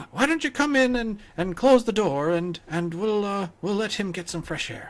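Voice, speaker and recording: At a moderate pace, a man does a put-on character voice pitched high. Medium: actual play. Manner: stammering, hesitant, apologetic.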